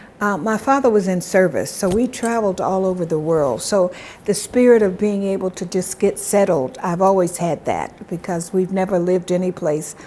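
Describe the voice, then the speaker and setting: Over noticeable background noise, a woman with an American accent speaks at medium pitch. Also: ordinary pitch variation, moderate pace. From US South, South Carolina. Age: 70s. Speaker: diaspora ambassador. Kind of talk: interview.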